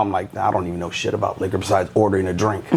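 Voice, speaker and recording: A man is speaking. He has an American accent. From Tampa, Florida. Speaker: nightclub owner. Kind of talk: casual chat. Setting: studio. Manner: hesitant, many fillers.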